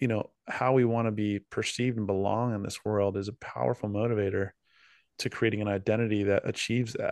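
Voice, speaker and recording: Against a quiet background, with a dry, close sound free of echo, a man with an unremarkable speaking voice talks fairly quickly at a fairly low pitch and fairly even intonation. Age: middle-aged. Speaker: podcast co-host. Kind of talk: casual chat.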